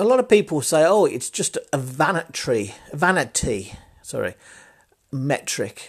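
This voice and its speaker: Vocal fry runs through a man's fairly high voice. He speaks at a fairly slow pace, with very wide pitch swings. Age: 40s. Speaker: marketing podcaster. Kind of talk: solo podcast monologue. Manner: casual with fillers.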